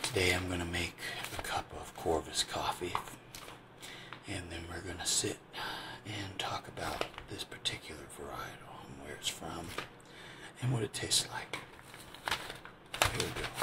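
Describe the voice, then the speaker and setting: A whispered voice at a moderate pace, broken by long, frequent pauses, with noticeable background noise. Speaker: ASMR creator. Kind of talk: ASMR coffee-making talk to camera. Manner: soft-spoken.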